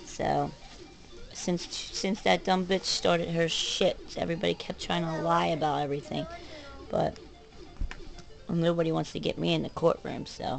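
Clear music plays behind a woman speaking at a moderate pace. She takes long, frequent pauses. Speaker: vlogger. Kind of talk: casual vlog rant. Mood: frustrated, agitated. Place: home room. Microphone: webcam.

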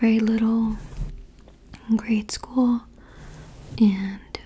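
A soft-spoken woman with a fairly high pitch, a very slow pace and monotone, flat intonation. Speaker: ASMR creator. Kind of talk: ASMR ramble, personal attention. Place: home room. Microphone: studio mic.

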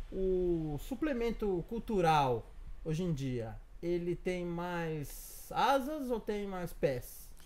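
A man with a high pitch talks at a very slow pace. His pitch swings very widely. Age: 30s. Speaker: blog interviewer. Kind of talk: interview. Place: home room. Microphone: lapel.

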